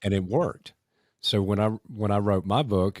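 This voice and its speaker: A man speaks with a Southern US accent. His pitch is fairly low. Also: very clean recording, silent background. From US South. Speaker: podcast host, former mayor. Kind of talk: interview conversation.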